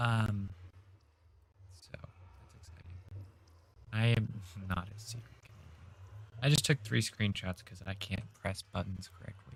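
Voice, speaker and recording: A fairly low-pitched man with an American accent, somewhat breathy, fairly slow, with ordinary pitch variation, big swings in loudness and long, frequent pauses. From northern US. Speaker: gaming livestreamer. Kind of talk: live gameplay stream chat. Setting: livestream with chat. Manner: talkative.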